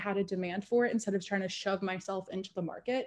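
Her words come out at a very fast pace, the speaker being a woman. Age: 20s. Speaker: online content creator, sex worker; interviewee, online content creator. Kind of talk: interview. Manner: casual, filler-heavy. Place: home room. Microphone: video call.

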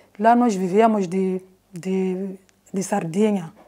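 A woman's dark, mellow voice, very slow and monotone, with flat intonation. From Mozambique, Gaza province (Xai-Xai); Gaza province, Mozambique. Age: 50s. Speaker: retired film editor and mobile cinema projectionist. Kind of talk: interview testimony. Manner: halting, with repetitions. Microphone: lapel.

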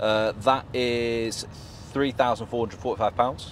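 A man's voice comes through with a dry sound and no echo, over light background noise. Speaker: presenter. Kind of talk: casual car review chat. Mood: amused, light-hearted. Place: car.

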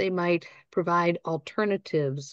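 A woman speaks with a plain, everyday voice at a fairly low pitch. Her pitch varies in an ordinary way, and the background is quiet. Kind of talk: training presentation. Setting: online webinar with live audience.

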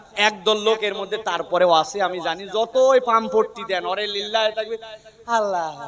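A man speaks in an animated tone with a high pitch. Noticeable background noise runs under his voice. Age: 30s. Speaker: Islamic preacher. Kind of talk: sermon.

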